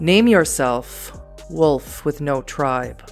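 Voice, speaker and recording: With clear music in the background, a put-on character voice comes across booming and resonant. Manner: commanding.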